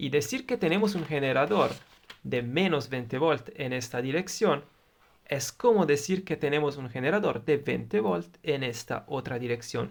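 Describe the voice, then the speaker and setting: Over noticeable background noise, a man with an Italian accent talks at a fairly slow pace with lively intonation. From Italy. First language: Italian (speaking Spanish). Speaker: electronics tutor, YouTuber. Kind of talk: tutorial. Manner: halting, with filler sounds.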